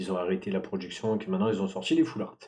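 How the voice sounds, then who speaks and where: A dark, mellow tone comes through at a very fast pace. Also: man. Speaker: streamer opening trading card packs. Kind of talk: live stream casual chat. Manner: loud; hesitant, many fillers.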